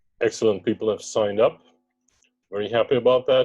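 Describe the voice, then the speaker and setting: A man speaks with a German accent. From Germany. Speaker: startup co-founder. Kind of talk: investor pitch presentation. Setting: webinar video call.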